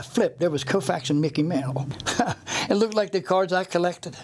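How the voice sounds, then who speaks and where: A man with an American accent talks very fast in a high voice, with noticeable background noise. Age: 70s. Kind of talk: interview answer.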